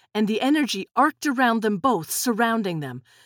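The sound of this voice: An unforced reading voice comes through with a quiet background behind it.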